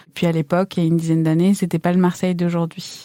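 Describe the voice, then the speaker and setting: On a very clean recording with a silent background and a dry, close sound with no echo, a woman speaks in a fairly low pitch with a dark, mellow tone and flat, monotone intonation. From Iran, then France from age nine. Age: 30s. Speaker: chef. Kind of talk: interview testimony. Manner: hesitant, many fillers.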